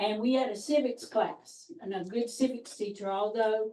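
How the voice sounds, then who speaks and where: A woman's fairly high voice in a South Carolina accent, fairly slow, with fairly even intonation. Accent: Southern US, upstate South Carolina. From upstate South Carolina, Anderson County. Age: 60s. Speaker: orientation participant. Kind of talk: self-introduction. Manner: folksy storytelling.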